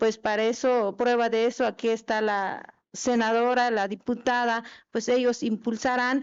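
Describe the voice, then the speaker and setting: Her voice is fairly high, with monotone, flat intonation. This woman keeps her loudness very even. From Chiapas, Mexico. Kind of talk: formal speech at legislative meeting. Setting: meeting hall. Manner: halting, with fillers.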